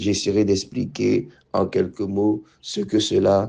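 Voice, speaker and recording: A man speaks at a very slow pace. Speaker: pastor. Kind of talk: sermon. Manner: hesitant, many fillers and repetitions.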